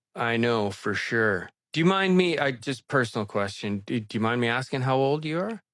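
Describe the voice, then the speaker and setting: A man speaks at a moderate pace with a medium pitch and lively intonation in an ordinary speaking voice, captured in a very clean recording with a silent background. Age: 60s. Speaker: video blogger doing a water fast. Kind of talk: casual chat.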